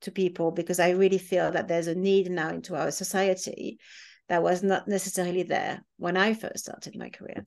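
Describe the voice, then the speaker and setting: With a French accent, a woman speaks at a moderate pace. Her pitch is medium and her intonation fairly even. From France. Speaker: hospitality executive. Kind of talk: interview. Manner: halting.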